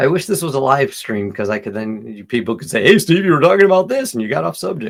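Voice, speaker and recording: The speech comes at a very fast pace with hardly any pauses, big swings in loudness, very wide pitch swings, and vocal fry. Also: man, medium pitch for a man. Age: 60s. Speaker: vegan commentary video host. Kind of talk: reaction commentary. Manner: casual, self-interrupting.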